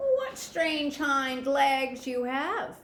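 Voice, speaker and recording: A woman performs a put-on character voice pitched high. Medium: read story. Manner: scornful, snorting.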